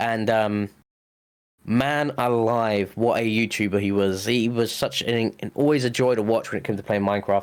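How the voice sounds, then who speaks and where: On a very clean recording with a silent background, a man with an English accent speaks at medium pitch and a moderate pace, his intonation fairly even. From England. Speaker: podcast co-host. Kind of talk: casual chat.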